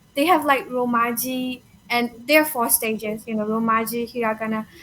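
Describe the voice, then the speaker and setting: Speaking at a moderate pace with a Burmese accent, a woman uses a high pitch and fairly even intonation. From Myanmar. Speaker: language learner. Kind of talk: casual conversation. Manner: halting, with fillers.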